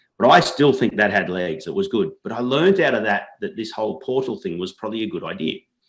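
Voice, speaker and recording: A man with an Australian accent talks at a very fast pace, hardly pausing, his pitch swinging very widely. His voice has vocal fry, and the recording is very clean with a silent background. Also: medium pitch for a man. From Australia, New South Wales. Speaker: entrepreneur. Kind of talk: interview.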